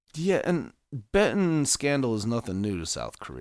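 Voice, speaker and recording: On a very clean recording with a silent background, a man talks at a moderate pace. His pitch swings very widely. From Ukraine. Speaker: podcast co-host. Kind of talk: casual chat. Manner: stuttering.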